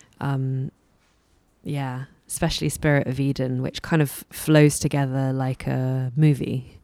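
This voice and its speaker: A woman speaks in a very deep, low pitch with a dark, mellow tone and monotone, flat intonation. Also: fairly slow pace. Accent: London. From London, England. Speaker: musician and singer-songwriter. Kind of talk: interview. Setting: in-person interview in a record store.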